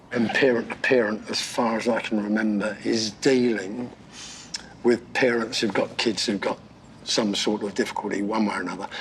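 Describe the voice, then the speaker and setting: Background noise is noticeable. Over it, a man talks with monotone, flat intonation. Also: medium pitch for a man, moderate pace. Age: old. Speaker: basketball coach and retired teacher. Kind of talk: casual chat.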